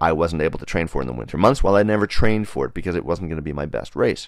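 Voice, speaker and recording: Very deep and low with vocal fry, a man's voice races at a very fast pace. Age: 40s. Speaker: running podcast host. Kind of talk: casual monologue. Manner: many fillers and hesitations.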